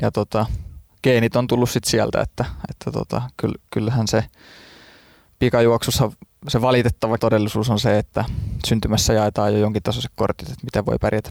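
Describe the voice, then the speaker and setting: On a very clean recording with a silent background, a man talks fairly quickly at a medium pitch, with vocal fry. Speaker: sprinter. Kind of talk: interview. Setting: studio. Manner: halting, many fillers.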